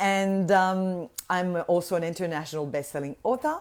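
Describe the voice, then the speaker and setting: A woman's fairly low voice with a slight French Canadian accent, animated in tone, fairly slow in pace, with ordinary pitch variation. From Quebec, Montreal. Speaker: voice healer and business mentor. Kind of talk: live online workshop talk. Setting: livestream.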